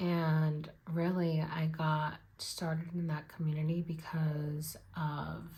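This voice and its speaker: A woman's somewhat breathy, very deep, low voice with audible room echo. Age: 20s. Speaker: budgeting vlogger. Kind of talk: casual chat.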